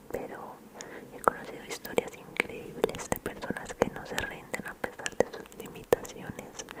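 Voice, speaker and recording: A woman whispers at a fairly slow pace with big swings in loudness, over noticeable background noise. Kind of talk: ASMR soft-spoken reading and whispering to help sleep. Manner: soft-spoken, whispering.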